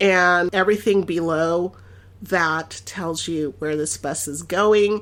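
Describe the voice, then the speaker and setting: A very slow woman's voice in a Californian accent, ordinary pitch variation, on a very clean recording with a silent background. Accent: General American, Californian. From Los Angeles, US West Coast. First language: Spanish. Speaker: podcast host. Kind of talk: casual travel monologue. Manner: animated, conversational.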